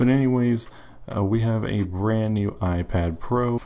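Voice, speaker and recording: Quiet and fairly slow, a man talks with fairly even intonation. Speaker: tech youtuber. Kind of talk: casual tech review.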